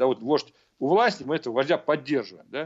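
Man, very fast pace, lively intonation. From Uzbekistan, Fergana Valley (Margilan). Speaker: Middle East and military analyst. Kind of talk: radio interview. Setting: remote link. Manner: halting, many fillers.

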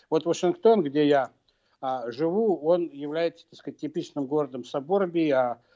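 A man's dark, mellow tone. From Russia, Moscow. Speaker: political scientist and professor. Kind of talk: radio interview. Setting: remote link to radio studio.

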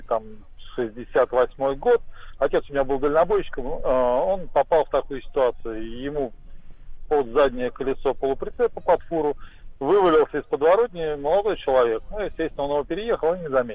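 A man with an unremarkable speaking voice talks at a moderate pace, his fairly high pitch carried by lively intonation. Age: 50s. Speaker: caller. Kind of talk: phone call story. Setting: phone call.

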